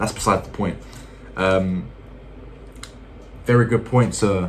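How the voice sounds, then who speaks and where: A man with a British accent speaks with fairly even intonation, and some room echo can be heard. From UK. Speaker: YouTuber. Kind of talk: casual vlog talk to viewers. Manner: hesitant, many fillers.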